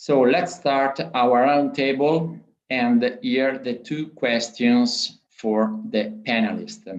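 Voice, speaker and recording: With an Italian accent, this voice moves at a very slow pace and uses lively intonation, and the room echo is audible. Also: man, medium pitch for a man. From Italy. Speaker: panel moderator. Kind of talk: conference panel moderation. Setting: video conference. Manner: halting.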